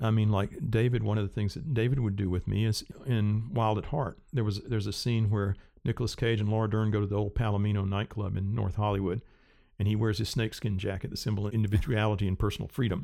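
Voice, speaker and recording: On a very clean recording with a silent background, a man with a dark, mellow tone and fairly low pitch speaks at a very fast pace with fairly even intonation. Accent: Southern US. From US South, rural South Carolina. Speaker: cinematographer and Steadicam operator. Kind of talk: interview.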